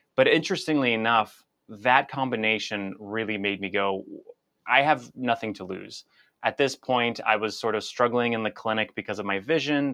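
Against a quiet background, the voice has a bright, sharp tone, a fairly quick pace and ordinary pitch variation. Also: man. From born in Russia, grew up in the US from age seven. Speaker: physical therapist and author. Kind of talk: interview.

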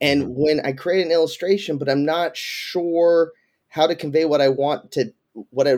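The delivery moves at a moderate pace in a plain, everyday voice. The background is silent and the recording very clean. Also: man. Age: 40s. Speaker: education consultant. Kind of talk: interview.

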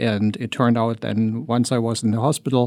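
On a very clean recording with a silent background, a man speaks with a German accent. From Germany. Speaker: journalism professor and cancer survivor. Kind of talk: interview testimony.

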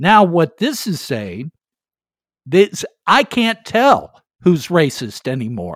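In a very clean recording with a silent background, a speaker with an American accent talks at a very slow pace, leaving long, frequent pauses. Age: 70s. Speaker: podcast host. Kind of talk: interview.

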